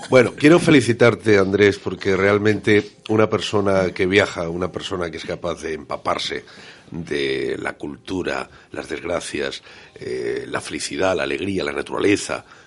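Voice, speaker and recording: Noticeable background noise behind a man's moderately paced voice. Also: big swings in loudness. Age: 50s. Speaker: radio co-host. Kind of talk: interview. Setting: radio studio.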